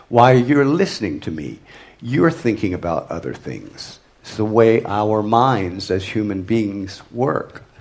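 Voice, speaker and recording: Amid audible room echo, a man with a fairly low pitch speaks fairly slowly, with lively intonation and big swings in loudness. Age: old. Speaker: theatre director. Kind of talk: lecture. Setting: stage with audience. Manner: halting.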